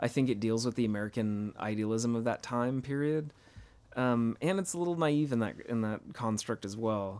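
He has a plain, everyday voice, pitched at a medium level. His pitch varies in an ordinary way, and his pace is moderate. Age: 30s. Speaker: podcast co-host. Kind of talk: casual chat.

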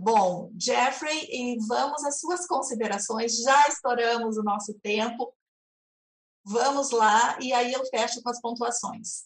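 A woman speaks at a very slow pace. Her voice is high in pitch. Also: ordinary pitch variation. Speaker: moderator. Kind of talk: moderating an online debate. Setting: video call.

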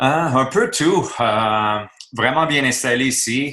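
A man with a Quebec accent and a bright, sharp tone speaks on a very clean recording with a silent background. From Quebec, Montreal. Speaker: retired hockey player, youth coach. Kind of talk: interview. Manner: halting.

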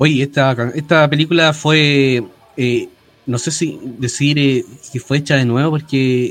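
Speaking at a fairly slow pace with a Chilean accent, a man uses a fairly high pitch and fairly even intonation. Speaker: podcast co-host, musician. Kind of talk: casual chat.

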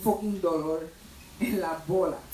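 A man speaks in a high pitch with ordinary variation and a Puerto Rican accent. Room echo and noticeable background noise are audible. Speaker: comedian. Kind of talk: stand-up.

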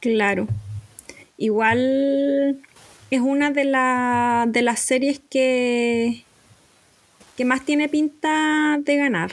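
A woman with a high pitch speaks at a very slow pace with long, frequent pauses, fairly even intonation and very even loudness, over noticeable background noise. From Chile. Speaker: podcast host. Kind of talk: casual chat.

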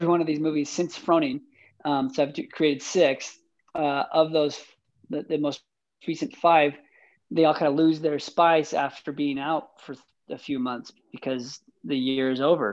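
Fairly even intonation at a moderate pace against a quiet background. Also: man. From Utah, US. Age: 30s. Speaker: filmmaker. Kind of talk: casual interview.

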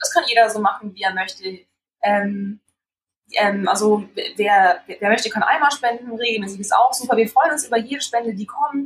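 A woman talks at a moderate pace in a fairly high pitch, somewhat breathy. Her pitch varies in an ordinary way. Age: 20s. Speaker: foundation co-founder and trainee teacher. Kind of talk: interview.

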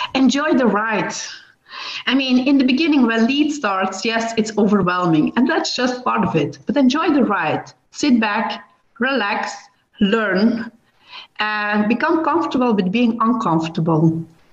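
There's audible room echo as a woman with a fairly high voice speaks fairly slowly with lively intonation. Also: very even loudness. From Belgium. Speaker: business lawyer. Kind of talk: interview.

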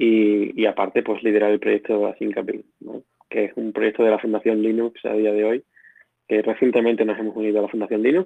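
A man with an Extremaduran accent and a medium pitch. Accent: Badajoz accent, returned after moving back. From Extremadura, Spain (Badajoz). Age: 30s. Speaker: software engineer, open-source project founder. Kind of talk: interview. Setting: live voice chat.

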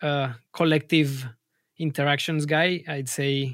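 The speaker has a Spanish accent and monotone, flat intonation at a fairly slow pace. The recording is very clean with a silent background. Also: man. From Colombia. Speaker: music producer and label manager. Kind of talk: interview. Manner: halting.

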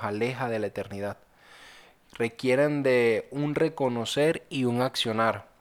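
At a fairly slow pace, a man speaks in a plain, everyday voice of medium pitch. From Venezuela. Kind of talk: personal testimony and devotional reflection.

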